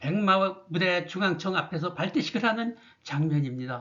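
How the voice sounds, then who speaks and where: The speaker is a man with lively intonation. He proceeds fairly slowly. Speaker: Vietnam War veteran. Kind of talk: narration of archival photos. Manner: formal; halting.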